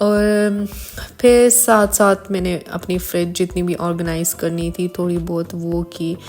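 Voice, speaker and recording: Music plays in the background as a woman talks at a very slow pace. Her pitch is fairly low and her intonation fairly even. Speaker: lifestyle vlogger. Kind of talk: casual vlog narration.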